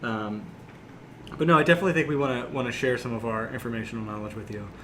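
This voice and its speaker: Very fast speech comes from a man with an American accent, at a medium pitch with ordinary pitch variation and big swings in loudness. Audible room echo and noticeable background noise are present. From small town US. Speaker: podcast co-host. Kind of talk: casual chat.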